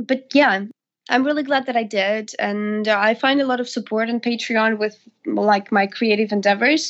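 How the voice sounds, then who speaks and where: Speaking in a Russian accent, a woman keeps a moderate pace and fairly even intonation at a fairly high pitch. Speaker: singer. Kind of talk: interview.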